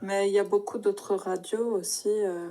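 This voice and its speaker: A woman's dark, mellow voice in a monotone, flat intonation at a very slow pace. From Paris, France. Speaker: French tutor. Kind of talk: language lesson conversation.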